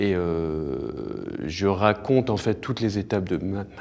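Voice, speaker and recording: A man is heard. The tone of his voice is dark and mellow. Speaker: author. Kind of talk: interview answer.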